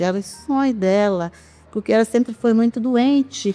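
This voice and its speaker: Music plays in the background as a woman speaks. Her pace is moderate and her pitch variation ordinary. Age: 60s. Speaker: parish community member, founder's daughter. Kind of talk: interview testimony.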